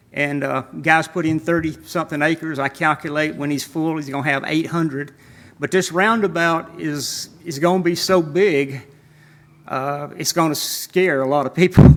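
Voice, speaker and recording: On a very clean recording with a silent background, a man with fairly high pitch and a Southern US accent talks at a moderate pace with fairly even intonation. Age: 70s. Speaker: landowner speaking at public hearing. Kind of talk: public hearing testimony. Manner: halting.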